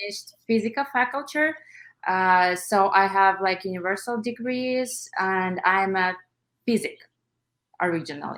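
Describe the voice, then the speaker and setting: A woman with a Russian accent speaks at a fairly slow pace and a medium pitch, with ordinary pitch variation and long, frequent pauses. The recording is very clean, with a silent background. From Russia (Armenian-born, moved at five). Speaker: nail artist and educator. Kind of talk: interview. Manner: hesitant, many fillers.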